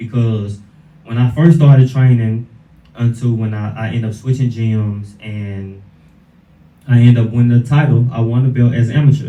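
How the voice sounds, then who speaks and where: Here a man has an unremarkable speaking voice. He talks at a moderate pace with fairly even intonation. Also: medium pitch for a man. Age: 20s. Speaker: fighter. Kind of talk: interview.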